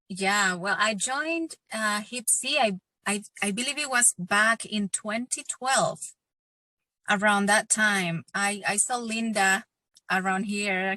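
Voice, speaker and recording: In a dry, close sound with no echo, a woman of medium pitch speaks at a very slow pace with a bright, sharp tone and ordinary pitch variation. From El Salvador. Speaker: singer-songwriter and former council member. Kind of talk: casual interview. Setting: video call from her car. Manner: halting.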